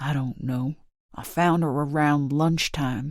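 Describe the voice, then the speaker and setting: At a fairly slow pace, a gruff put-on character voice speaks in a low-to-middle pitch. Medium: read story. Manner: gruff, aggressive.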